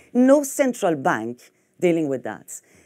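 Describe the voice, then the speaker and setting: A woman's dark, mellow voice with a French accent, over a quiet background. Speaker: fintech executive. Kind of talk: conference talk. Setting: stage with audience. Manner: halting. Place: hall.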